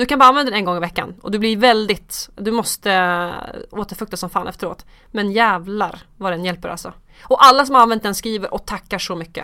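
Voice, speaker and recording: On a very clean recording with a silent background, a woman of medium pitch speaks at a fairly quick pace in a bright, sharp tone, with ordinary pitch variation and big swings in loudness. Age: 30s. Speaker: skincare expert and TV casting worker. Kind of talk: casual chat.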